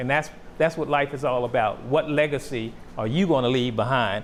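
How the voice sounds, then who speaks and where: Ordinary pitch variation in a man's voice, an ordinary speaking voice. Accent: American. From Washington, D.C. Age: 60s. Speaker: photographer. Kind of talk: talk to students. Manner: casual, conversational.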